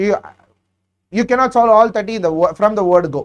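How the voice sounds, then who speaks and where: In a Tamil accent, a man speaks with a high pitch. His pitch variation is ordinary. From South India, Chennai. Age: 30s. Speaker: exam prep teacher. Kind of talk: live Q&A session. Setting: live stream.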